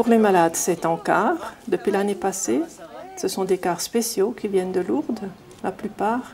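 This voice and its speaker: A woman at a medium pitch with a slight Swiss German accent and ordinary pitch variation, amid noticeable background noise. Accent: slight Swiss German tinge. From Ajoie, Swiss Jura, then German-speaking Switzerland. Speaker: nun, pilgrimage organizer. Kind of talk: interview.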